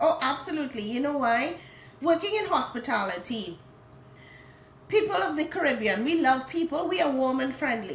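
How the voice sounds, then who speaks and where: A woman with a Trinidadian accent talks at a moderate pace in a high pitch, her pitch swinging very widely, with long, frequent pauses, noticeable background noise and audible room echo. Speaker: hotel HR director and author. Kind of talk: interview. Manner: animated.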